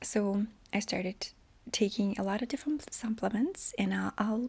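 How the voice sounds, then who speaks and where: Somewhat breathy, a woman speaks at a fairly high pitch and a moderate pace with fairly even intonation. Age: 30s. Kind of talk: casual talk to camera.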